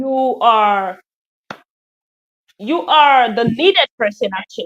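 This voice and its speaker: A woman speaks very slowly at a high pitch, her pitch swinging very widely. The sound is dry and close, with no echo. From Nigeria. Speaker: English teacher. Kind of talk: interview.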